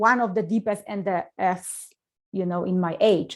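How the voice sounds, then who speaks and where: Recorded very cleanly against a silent background, a woman speaks with a Polish accent and ordinary pitch variation. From Poland. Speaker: motivational speaker. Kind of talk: interview.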